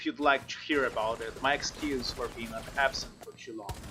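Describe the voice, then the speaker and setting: A man with a fairly high pitch talks at a moderate speed, his pitch varying in an ordinary way, while noticeable background noise sits behind him. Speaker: gaming youtuber. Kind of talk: game review narration. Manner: halting speech.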